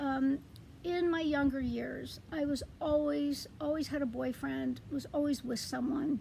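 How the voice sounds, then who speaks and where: Noticeable background noise is present. The woman talks fairly slowly. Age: 60s. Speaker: vlogger. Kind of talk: casual vlog monologue. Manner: halting, many fillers.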